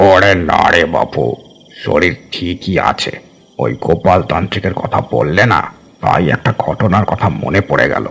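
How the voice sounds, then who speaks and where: A man does a put-on character voice, very deep and low, with lively intonation at a moderate pace. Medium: audio drama. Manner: slow, unhurried, folksy.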